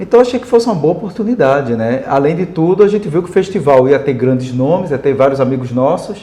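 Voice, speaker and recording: A man with a fairly high voice talks very fast, his pitch swinging very widely, with hardly any pauses. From Brazil, Pernambuco (Paulista, Recife metro area). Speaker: songwriter and band musician. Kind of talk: interview.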